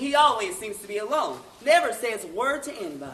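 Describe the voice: In a put-on character voice, a man speaks high for a man at a fairly quick pace, with big pitch swings, a bright, sharp tone and audible room echo.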